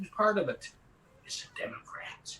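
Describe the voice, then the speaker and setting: With noticeable background noise, a man talks at a moderate pace. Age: 60s. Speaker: actor and comedian. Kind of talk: casual chat. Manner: rambling, halting with repetitions.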